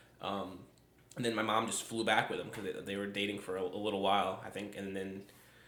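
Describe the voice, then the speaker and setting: Over noticeable background noise and audible room echo, a man talks at a very fast pace in a fairly low, monotone, flat voice. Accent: American. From upstate New York. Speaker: podcast co-host. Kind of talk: casual chat. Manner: halting, many fillers.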